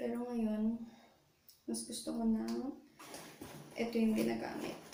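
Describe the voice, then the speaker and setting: Soft-spoken, a woman talks with audible room echo and noticeable background noise. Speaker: beauty vlogger. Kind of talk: makeup tutorial. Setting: bathroom. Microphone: echo in bathroom.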